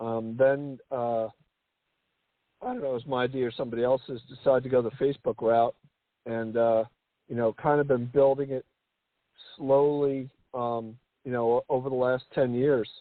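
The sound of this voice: Medium in pitch, a man speaks at a moderate pace. The sound is dry and close, with no echo. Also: fairly even intonation.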